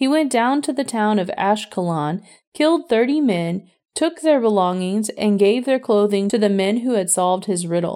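On a very clean recording with a silent background, a woman with a dark, mellow tone speaks at a moderate pace, pitched fairly high, with lively intonation. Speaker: scripture reader. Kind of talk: audiobook-style scripture reading, measured and solemn. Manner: steady, even narration; formal, reverent.

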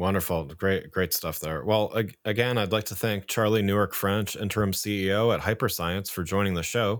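Delivered at a moderate pace with hardly any pauses, an ordinary speaking voice keeps its intonation fairly even. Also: man, fairly low pitch for a man. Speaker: podcast host. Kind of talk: interview, podcast intro and outro.

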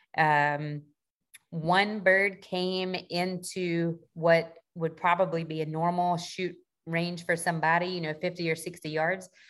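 A woman with a Southern US accent talks in a fairly low pitch, her intonation flat and monotone. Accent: Southern US (Georgia). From US South, south Georgia. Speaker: Navy sailor and duck hunter. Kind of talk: casual interview chat.

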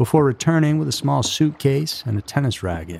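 A man delivers his lines in a dramatic tone at a fairly quick pace. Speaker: podcast host. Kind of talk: true-crime narration, scripted storytelling. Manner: measured, dramatic storyteller delivery.

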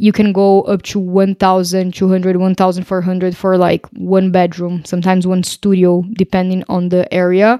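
A woman's medium-pitched, dark, mellow voice in a Portuguese accent, monotone and flat, at a moderate pace, on a very clean recording with a silent background and a dry, close sound with no echo. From Brazil. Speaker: podcast co-host, digital nomad. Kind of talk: casual chat.

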